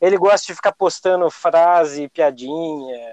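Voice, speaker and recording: A man speaks with a high pitch. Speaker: podcast host. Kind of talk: casual chat.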